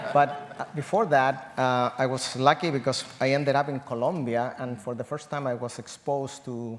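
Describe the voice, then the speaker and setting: With a Spanish accent, a man speaks at a moderate pace with fairly even intonation. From Chile. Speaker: agroecology professor. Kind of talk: panel discussion.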